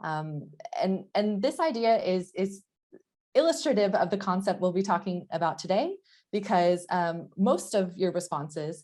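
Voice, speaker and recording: Medium in pitch, a woman in an American accent speaks with a dark, mellow tone. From United States. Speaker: professor. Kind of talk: lecture. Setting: online session. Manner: halting, many fillers.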